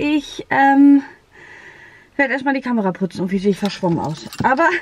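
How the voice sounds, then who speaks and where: Delivered at a moderate pace, the voice has a dry sound with no echo. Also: woman. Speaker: vlogger. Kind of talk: casual vlog chat. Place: car.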